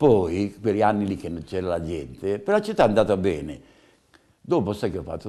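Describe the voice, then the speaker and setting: At a moderate pace, a man speaks in a dark, mellow tone with very wide pitch swings. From Umbria. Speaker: veteran festival ceri bearer. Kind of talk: casual interview, storytelling. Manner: animated. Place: home room. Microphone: lapel.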